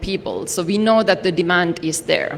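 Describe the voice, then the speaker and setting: Over noticeable background noise, a woman talks in a fairly low pitch with fairly even intonation. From Finland. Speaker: development partner representative. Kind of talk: ceremony speech. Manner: formal.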